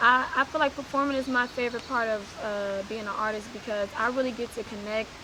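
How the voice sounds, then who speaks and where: A woman's fairly high voice at a fairly quick pace, with fairly even intonation over noticeable background noise. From East Oakland, California. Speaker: rapper. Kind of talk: casual interview.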